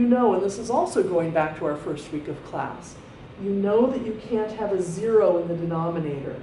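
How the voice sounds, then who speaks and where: With audible room echo and noticeable background noise, a woman speaks at medium pitch. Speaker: math teacher. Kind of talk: lecture.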